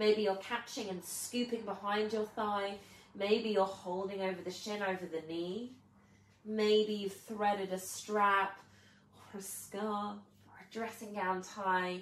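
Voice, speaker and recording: In a room with audible echo and noticeable background noise, a woman speaks at a fairly slow pace in a medium-pitched, monotone voice with flat intonation and big swings in loudness. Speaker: yoga teacher. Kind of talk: guided yoga class. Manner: slow, soothing.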